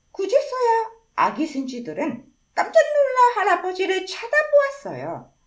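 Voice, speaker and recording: At a fairly slow pace, a woman speaks with an extremely high pitch and very wide pitch swings. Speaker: storyteller. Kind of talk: children's story reading.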